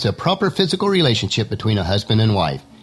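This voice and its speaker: Talking at a very fast pace, a man with a medium pitch makes very wide pitch swings against noticeable background noise. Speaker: Bible teaching podcaster. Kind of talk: devotional podcast talk. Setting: home studio.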